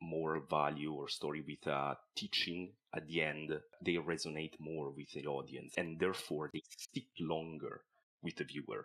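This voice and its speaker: A man speaks with an Italian accent. His pitch is very deep and low. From Italian-speaking southern Switzerland, near Lugano. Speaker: animation film director. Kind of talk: podcast interview. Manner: halting, frequent repeated words.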